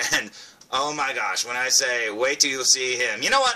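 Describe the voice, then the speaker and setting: Noticeable background noise fills the clip. A man is speaking. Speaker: toy reviewer. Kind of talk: product review. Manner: animated.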